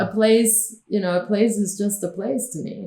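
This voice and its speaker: With a Spanish accent, a woman speaks at a fairly slow pace and with ordinary pitch variation. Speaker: film producer. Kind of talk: interview.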